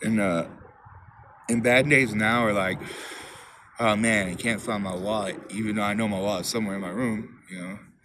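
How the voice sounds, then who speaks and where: A man of fairly low pitch with long, frequent pauses, plus audible room echo and noticeable background noise. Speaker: recovering alcoholic vlogger. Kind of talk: personal testimony monologue. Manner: fast; halting, repetitive.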